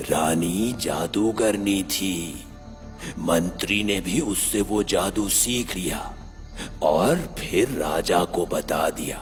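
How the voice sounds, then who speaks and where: A man's put-on character voice, fairly low in pitch and very slow, with clear music in the background. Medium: read story.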